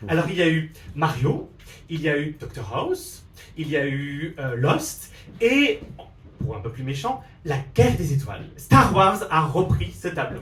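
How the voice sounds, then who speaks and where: A man with an Alsatian accent, animated and fairly high-pitched, at a fairly slow pace with lively intonation, long and frequent pauses, and audible room echo. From Alsace, France. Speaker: drag queen comedian. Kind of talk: stand-up. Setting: stage with audience.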